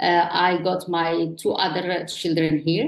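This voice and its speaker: A woman with an Arabic accent, fairly low in pitch, fairly slow and fairly even in intonation. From Morocco. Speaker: online entrepreneur. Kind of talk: interview. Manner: halting.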